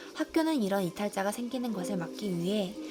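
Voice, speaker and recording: Over background music, a woman talks at a fairly quick pace and a medium pitch, her pitch swinging very widely. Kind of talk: audiobook reading of nonfiction.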